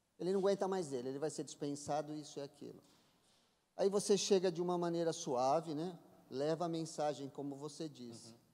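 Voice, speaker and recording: At a fairly quick pace, a man speaks with a fairly high pitch and a dark, mellow tone. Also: ordinary pitch variation. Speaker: church member. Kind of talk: group discussion question. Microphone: podium.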